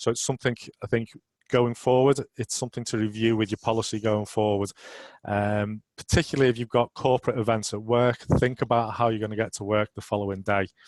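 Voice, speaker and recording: A man with a Merseyside accent speaks at a fairly quick pace and medium pitch. The intonation is monotone and flat, and the sound is dry and close with no echo. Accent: Merseyside (Scouse). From northern England, Merseyside. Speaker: road risk manager, webinar presenter. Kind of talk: webinar presentation. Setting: online webinar. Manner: hesitant with fillers.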